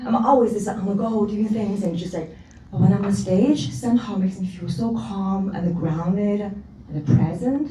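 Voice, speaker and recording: Lively intonation marks this woman's medium-pitched voice at a moderate pace. Noticeable background noise and audible room echo are present. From China. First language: not English. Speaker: panelist, professional speaker. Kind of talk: panel discussion.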